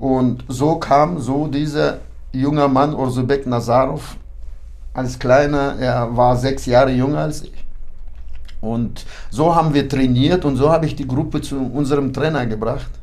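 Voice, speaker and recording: A man speaks in a medium pitch at a fairly slow pace. His intonation is fairly even, and there is audible room echo. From Kyrgyzstan (ethnic German, born in Kazakhstan). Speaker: boxing club official and coach. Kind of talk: interview.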